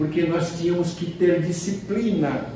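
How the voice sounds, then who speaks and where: The man has a high pitch and speaks at a fairly slow pace. Audible room echo and noticeable background noise fill the recording. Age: 70s. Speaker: spiritist lecturer. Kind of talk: lecture.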